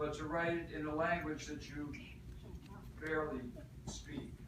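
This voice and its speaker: Amid noticeable background noise, a man with a fairly high pitch speaks at a moderate pace. He leaves long, frequent pauses. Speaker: slam poet. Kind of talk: live poetry talk and performance.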